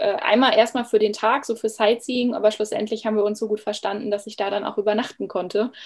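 A woman speaks with a fairly high pitch. Her intonation stays monotone and flat. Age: 30s. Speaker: former primary school teacher, coach. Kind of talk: interview. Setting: video call.

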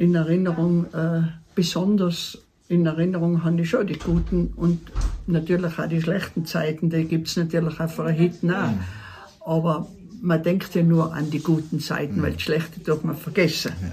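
At a moderate pace, a woman talks in a fairly low voice with fairly even intonation, with noticeable background noise behind her. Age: 70s. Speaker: mountain hut keeper. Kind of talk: casual interview. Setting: mountain hut.

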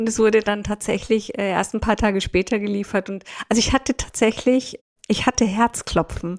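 A woman's plain, everyday voice, fairly high-pitched and fairly even in intonation, at a moderate pace, with a dry, close sound and no echo. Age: 50s. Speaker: leadership consultant and author. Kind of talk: podcast interview.

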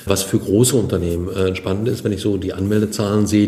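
A man with a fairly low pitch speaks at a moderate pace in a flat monotone, with audible room echo and noticeable background noise. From Germany, western Münsterland (Kreis Borken). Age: 60s. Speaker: business association representative. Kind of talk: podcast interview.

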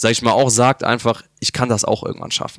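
A man talks at a medium pitch. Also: dry, close sound with no echo. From Germany, Upper Franconia (Bavaria). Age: 20s. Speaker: esports pro gamer. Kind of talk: interview. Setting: hotel lobby.

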